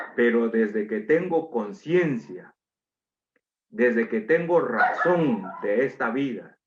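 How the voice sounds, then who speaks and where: A man's very slow voice at a medium pitch, with very wide pitch swings. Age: 60s. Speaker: preacher. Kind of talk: sermon.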